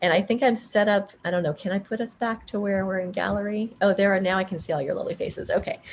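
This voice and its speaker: A woman at a medium pitch talks at a very fast pace with hardly any pauses, her voice somewhat breathy and her pitch varying in an ordinary way. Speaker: dance artist and workshop presenter. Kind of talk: workshop Q&A on Zoom. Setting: video call.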